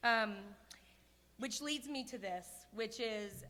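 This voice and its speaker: Against audible room echo, a woman speaks loudly at a very slow pace, her fairly high voice carrying a bright, sharp tone. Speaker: award honoree. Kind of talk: acceptance speech. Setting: stage with audience at a gala. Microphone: too close to the mic.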